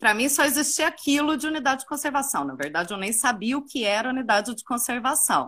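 A woman projects a raised, high-pitched voice with a bright, sharp tone. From Minas Gerais, Brazil (Uberaba). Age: 30s. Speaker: tourism professional and park guide. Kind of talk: casual interview. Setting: online live stream.

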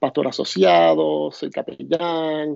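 In a Puerto Rican accent, a man with a fairly high pitch speaks at a very slow pace with ordinary pitch variation. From Puerto Rico. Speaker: pastor. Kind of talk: casual chat. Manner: halting.

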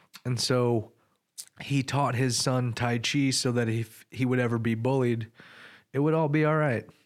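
A man of medium pitch with a normal speaking voice, moderate pace, very even loudness and fairly even intonation. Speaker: podcast host. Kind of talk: interview, scripted intro. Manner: articulate, earnest.

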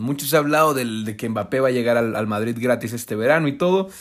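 On a very clean recording with a silent background, a man talks in an animated tone at a fairly quick pace. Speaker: football pundit. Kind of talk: casual commentary; scripted narration.

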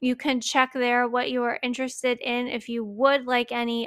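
This woman has a fairly high pitch and an ordinary speaking voice. She talks at a moderate pace. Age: 30s. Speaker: podcast host. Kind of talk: casual monologue.

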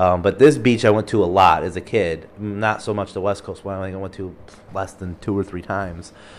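A man with an Upper Midwest accent and a fairly low voice. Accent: Upper Midwest American (Michigan). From Michigan. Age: 30s. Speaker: podcast host. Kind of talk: solo personal storytelling.

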